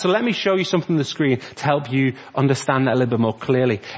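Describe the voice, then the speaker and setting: Somewhat breathy, a man talks in an animated tone. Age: 30s. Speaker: church youth and children's worker. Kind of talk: family church service talk. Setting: church.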